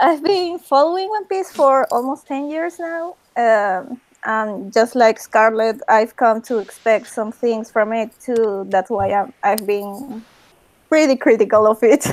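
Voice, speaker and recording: A woman with a Spanish accent speaks at a fairly slow pace, her pitch fairly high and her intonation lively. The recording is very clean with a silent background. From Peru. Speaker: artist. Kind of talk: casual chat.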